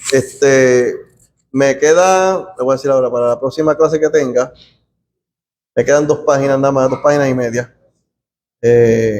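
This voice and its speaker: Pausing long and often, a man speaks with a fairly high pitch, ordinary pitch variation and very even loudness. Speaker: Bible study teacher. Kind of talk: bible study class. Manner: fast; soft-spoken.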